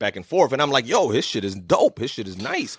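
A man uses an ordinary speaking voice, talking at a fairly quick pace and medium pitch. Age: 40s. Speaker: podcast host. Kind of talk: casual chat.

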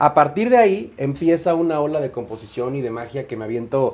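A man with a Mexico City accent and a fairly high pitch. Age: 20s. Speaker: singer. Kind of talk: casual chat.

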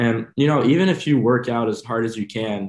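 A man speaks with a slight French accent. His pitch is fairly low and his tone slightly mellow.

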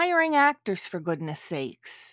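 A woman with a Canadian accent, medium in pitch, in a dry, close sound with no echo. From Canada. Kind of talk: casual chat. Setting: remote recording across countries.

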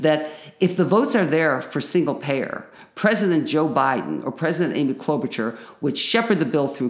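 A fairly quick American accent whose pitch swings very widely from high to low. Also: woman. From Chicago. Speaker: local activist and tenant union leader. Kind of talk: interview.

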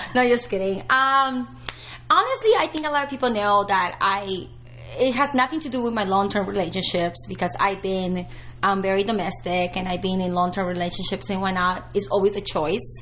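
Noticeable background noise sits behind a woman talking at a fairly quick pace. Her pitch is medium and her intonation lively. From Peru. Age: 40s. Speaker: retired adult film performer. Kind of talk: casual interview chat.

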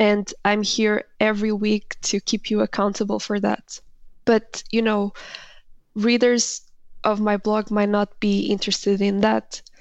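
A woman with a Portuguese accent speaks at a fairly slow pace, her intonation monotone and flat and her loudness very even. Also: medium pitch for a woman. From Portugal. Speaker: writer and founder of an interview website. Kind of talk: coaching conversation.

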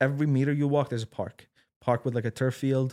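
A man with an Arabic accent speaks at a medium pitch. The recording is very clean and dry, close with no echo and a silent background. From Syria. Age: 20s. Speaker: game developer and crypto enthusiast. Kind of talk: casual interview chat.

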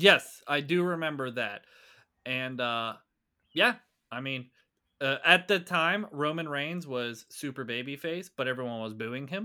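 A bright, sharp tone with ordinary pitch variation at a fairly slow pace, long, frequent pauses, and a very clean recording with a silent background. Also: man, fairly high pitch for a man. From Pittsburgh. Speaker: podcast co-host. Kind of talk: casual chat.

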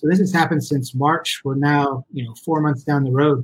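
A man with an American accent talks in a fairly high pitch, his voice somewhat breathy. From Colorado, US. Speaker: business owner and former golf pro. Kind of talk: podcast interview.

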